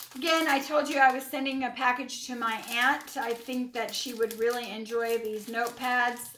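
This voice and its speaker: Noticeable background noise runs under a woman speaking at a high pitch. Her pace is moderate and her intonation fairly even. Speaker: YouTuber haul vlogger. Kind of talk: product haul video. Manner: casual, halting with fillers.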